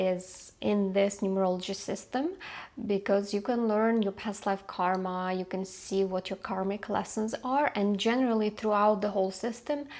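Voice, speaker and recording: Her voice is medium-pitched, with a non-native accent and fairly even intonation. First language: not English. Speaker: numerologist and coach. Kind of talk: unedited talk to camera. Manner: slow; halting, many fillers.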